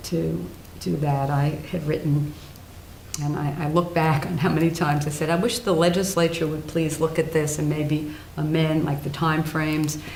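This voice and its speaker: Very deep, low female voice at a moderate pace, with noticeable background noise and audible room echo. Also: fairly even intonation. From New Jersey, US Northeast. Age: 70s. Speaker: retired judge. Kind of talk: oral history interview.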